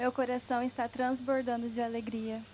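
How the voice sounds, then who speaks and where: A woman speaks at a moderate pace in a high, flat monotone. Light background noise sits behind her. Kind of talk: wedding vows reading. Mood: emotional, tender. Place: garden. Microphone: handheld.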